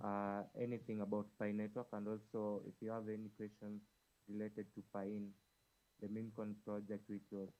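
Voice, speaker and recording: In a monotone, flat intonation, a man speaks at a fairly low pitch with a dark, mellow tone. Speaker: crypto community host. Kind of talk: online audio space Q&A.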